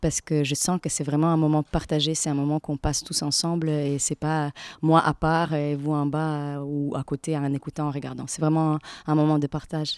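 Recorded very cleanly against a silent background, the voice sounds dry and close with no echo and keeps a monotone, flat intonation. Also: woman. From Latvia. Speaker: stage actress. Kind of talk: radio interview. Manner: halting, many repetitions and fillers.

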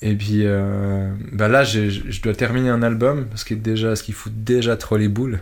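Fairly low in pitch, a man speaks in a monotone, flat intonation at a fairly slow pace with hardly any pauses. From Switzerland. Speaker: electronic musician. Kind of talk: interview. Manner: halting.

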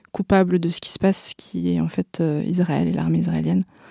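A woman talks at a fairly quick pace in a very clean recording with a silent background and a dry, close sound with no echo. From France. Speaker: activist. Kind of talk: interview. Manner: halting, many hesitations.

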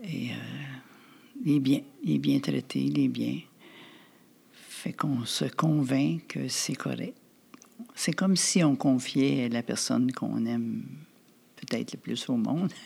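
This woman talks at a very slow pace, leaving long, frequent pauses. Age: 80s+. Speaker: retired senior, Alzheimer caregiver. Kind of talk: interview testimony. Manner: halting.

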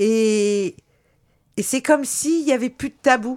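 Over a silent background in a very clean recording, a woman speaks at a fairly slow pace. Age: 40s. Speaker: nurse, protest activist. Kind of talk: testimony on community radio.

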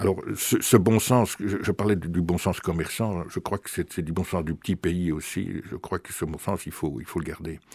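Speaking with ordinary pitch variation, a man uses a very deep, low pitch. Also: moderate pace, big swings in loudness. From Belgium. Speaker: author. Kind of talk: interview. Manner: halting, frequent repetitions.

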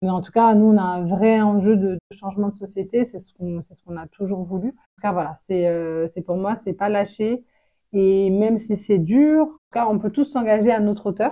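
A woman speaks at a medium pitch and a moderate pace. Her pitch varies in an ordinary way, while her loudness swings widely. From France, Congolese family. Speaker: association director and victimologist. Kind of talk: interview. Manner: hesitant, many fillers.

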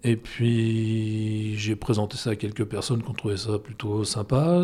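A man speaks at a moderate pace in a medium pitch, his tone dark and mellow and somewhat breathy. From Brittany, Brest. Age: 50s. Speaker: photographer and gallery owner. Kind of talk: interview. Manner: hesitant, with fillers.

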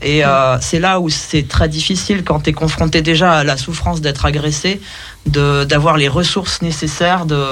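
Noticeable background noise sits behind this man's voice. He speaks at a moderate pace with a fairly high pitch. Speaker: radio show co-host. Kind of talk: casual chat. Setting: studio.

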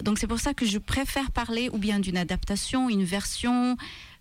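A woman speaks with a Maltese accent. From Malta. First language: Maltese (speaking French). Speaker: author and translator. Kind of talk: radio interview. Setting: radio studio. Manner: hesitant, many fillers and repetitions.

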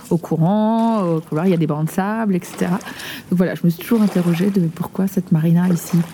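A woman speaks with a fairly low pitch and fairly even intonation. Noticeable background noise is present. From Nantes, France. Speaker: preschool teacher. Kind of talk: casual chat.

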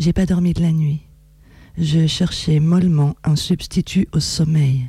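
A woman with a fairly low pitch and a dark, mellow, somewhat breathy tone speaks at a very slow pace, with long, frequent pauses, fairly even intonation and very even loudness. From France, Reims. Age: 40s. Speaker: poet and writer. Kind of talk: poetry reading. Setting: radio studio.

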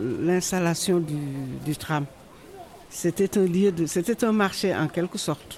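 A woman's fairly low voice moves at a very slow pace. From Senegal. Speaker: immigrant woman interviewee. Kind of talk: personal testimony.

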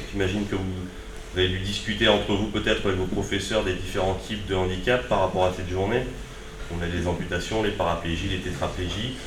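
Very deep and low, a man's monotone, flat voice moves at a fairly quick pace amid noticeable background noise and audible room echo. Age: 30s. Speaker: surfer and adaptive surfing instructor. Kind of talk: talk to school pupils. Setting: school visit with pupils.

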